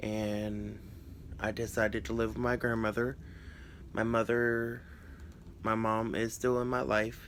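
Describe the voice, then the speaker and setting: A man with a South Carolina accent speaks at a medium pitch and a fairly slow pace. His intonation is monotone and flat. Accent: South Carolina Southern US. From US South, North Charleston, South Carolina. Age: 20s. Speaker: crafting YouTuber. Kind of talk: casual personal vlog. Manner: halting, many fillers.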